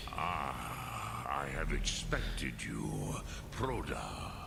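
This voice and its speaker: A man talks at a very slow pace in a put-on character voice. Loud background noise runs throughout. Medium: game stream. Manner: slow, measured, archaic, mixing dragon-tongue words.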